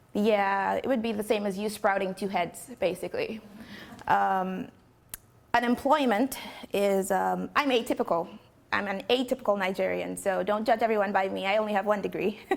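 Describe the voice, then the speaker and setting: Her voice shows vocal fry as this woman speaks at medium pitch with fairly even intonation. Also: moderate pace. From Nigeria. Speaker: poet and musician. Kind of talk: talk to an audience.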